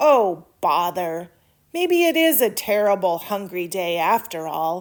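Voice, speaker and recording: In a very clean recording with a silent background, a woman uses a put-on character voice at a medium pitch. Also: fairly slow pace. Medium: read story.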